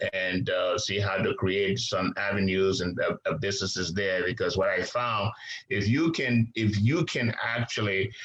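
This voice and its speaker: Speech comes at a moderate pace. It is delivered with a non-native accent. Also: man. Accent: foreign. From Liberia. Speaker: businessman. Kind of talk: interview. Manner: hesitant, many fillers.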